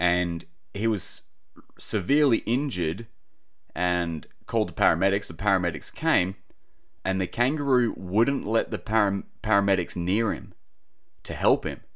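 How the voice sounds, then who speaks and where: Speaking with an Australian accent, a man uses a fairly low pitch and lively intonation at a moderate pace, broken by long, frequent pauses. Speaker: podcaster and wildlife relocator. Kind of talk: casual solo podcast monologue. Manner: casual, chatty, informal.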